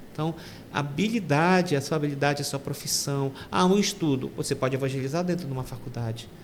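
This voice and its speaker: A fairly high-pitched man's voice at a very fast pace, with ordinary pitch variation. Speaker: deacon. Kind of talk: testimony. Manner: halting.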